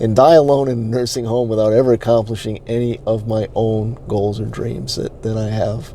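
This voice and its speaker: A slight New England accent, fairly even intonation and a moderate pace with hardly any pauses, over noticeable background noise. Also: man, medium pitch for a man. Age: 40s. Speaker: online marketing coach. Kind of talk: personal story. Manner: halting.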